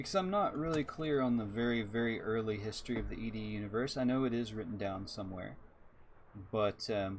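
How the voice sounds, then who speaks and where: Through audible room echo, a man with an American accent speaks at a fairly quick pace and a medium pitch. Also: ordinary pitch variation. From Texas. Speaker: video game streamer. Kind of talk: live stream gameplay commentary. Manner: casual, conversational.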